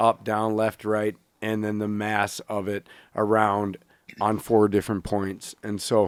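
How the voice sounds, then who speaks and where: Recorded very cleanly against a silent background, a man talks at a fairly slow pace in a dry, close sound with no echo. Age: 40s. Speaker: podcast co-host and bow hunter. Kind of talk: casual chat.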